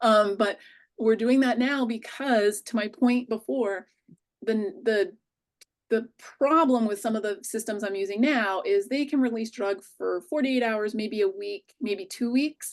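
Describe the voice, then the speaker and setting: A woman talks in a fairly high pitch with ordinary pitch variation. She has a plain, everyday voice. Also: fairly slow pace. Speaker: physician-scientist, researcher. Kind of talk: conference presentation and Q&A.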